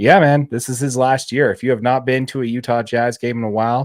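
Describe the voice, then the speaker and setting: The background is silent and the recording very clean. A man talks at a very fast pace. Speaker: podcast co-host, sports commentator. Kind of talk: casual podcast discussion.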